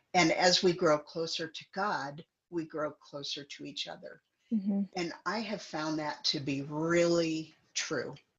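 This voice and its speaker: A woman with a Midwestern American accent speaks at a fairly slow pace and fairly low pitch, with ordinary pitch variation and big swings in loudness. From US Midwest, central Illinois. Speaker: guest sharing life story. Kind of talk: casual chat.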